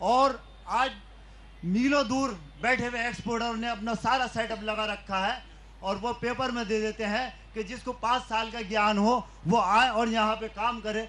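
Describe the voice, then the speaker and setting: A man's high-pitched voice with monotone, flat intonation. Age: 60s. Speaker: artisan. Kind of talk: public question to politician.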